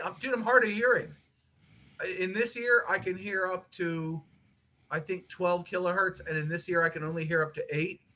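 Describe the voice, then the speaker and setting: Raising and projecting his voice, a man with a bright, sharp tone speaks at a moderate pace with ordinary pitch variation. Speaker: guest on livestream. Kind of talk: casual chat. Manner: loud. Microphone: laptop mic, low level.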